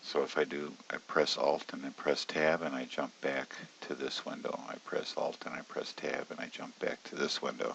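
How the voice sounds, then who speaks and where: A quiet man's voice at a moderate pace. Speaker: options trading educator. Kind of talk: screen-share tutorial. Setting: at home, early morning. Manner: quiet, subdued.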